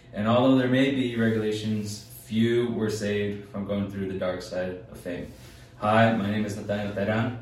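In a room with audible echo and noticeable background noise, a man speaks at a moderate pace with a fairly low pitch and fairly even intonation. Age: young. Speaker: student podcast co-host. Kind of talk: casual chat; scripted narration. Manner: halting.

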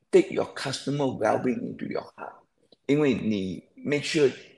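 There is vocal fry in this man's fairly high voice. His pitch swings very widely. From Malaysia, Perak. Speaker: company founder and managing director. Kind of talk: interview. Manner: hesitant, repeats words.

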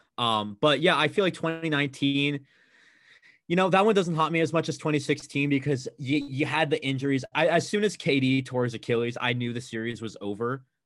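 A man with an unremarkable speaking voice and an American accent talks at a fairly quick pace. His pitch is fairly high, with ordinary pitch variation. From US West Coast, Bay Area (Oakland). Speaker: college student, sports fan. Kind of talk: casual chat.

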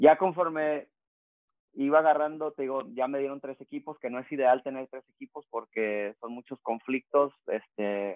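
This is an unremarkable speaking voice from a man with a medium pitch and ordinary pitch variation. He talks at a moderate pace. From Baja California border region (Rosarito, Tijuana) and San Diego. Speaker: youth soccer coach and former pro player. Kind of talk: casual interview. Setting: home office.

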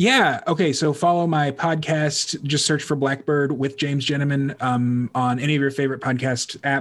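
At a moderate pace, a man with a normal speaking voice talks in a fairly high pitch, his intonation fairly even and his loudness very even. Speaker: podcast host. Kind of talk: casual chat. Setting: video call.

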